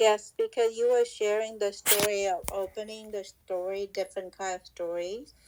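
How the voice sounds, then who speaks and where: A non-native accent with hardly any pauses. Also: moderate pace. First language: not English. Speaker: audience participant. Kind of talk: question from audience.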